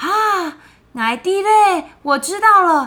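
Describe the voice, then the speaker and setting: Raising and projecting her voice, a woman sounds bright and sharp, her tone animated and her pitch swinging very widely. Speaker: children's podcast co-host. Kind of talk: storytelling chat for children.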